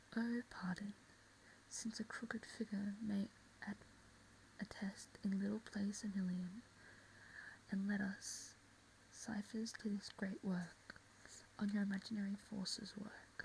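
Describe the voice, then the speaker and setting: Long pauses come often in this soft-spoken delivery. The pace is fairly slow. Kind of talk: soft-spoken ASMR reading of a play.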